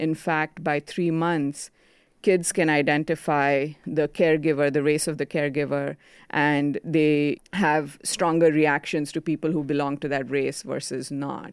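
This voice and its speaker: A woman's very deep, low voice, monotone and flat, at a fairly slow pace on a very clean recording with a silent background. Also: dry, close sound with no echo. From India. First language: Konkani. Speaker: children's brand founder. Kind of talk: interview.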